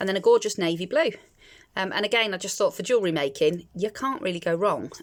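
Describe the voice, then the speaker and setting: A woman with a British accent speaks at a fairly quick pace in a very clean recording with a silent background. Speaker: crafts YouTuber. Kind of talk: unboxing video. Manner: hesitant with many fillers; fast.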